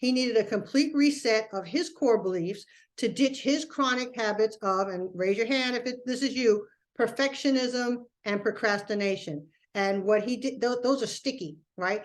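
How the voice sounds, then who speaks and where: A woman speaks in a plain, everyday voice, fairly high in pitch, at a moderate pace. Her pitch variation is ordinary, and the background is quiet. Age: 60s. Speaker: productivity coach. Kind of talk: webinar presentation. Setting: live online webinar. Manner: conversational.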